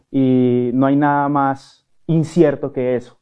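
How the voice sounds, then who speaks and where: A man with a fairly high-pitched voice. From Colombia, Cali. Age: 30s. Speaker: actor and network marketer. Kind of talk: interview. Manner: hesitant, many fillers.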